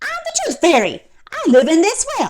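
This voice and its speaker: A shrill, put-on character voice at extremely high pitch with very wide pitch swings and a moderate pace. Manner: cheery, squeaky.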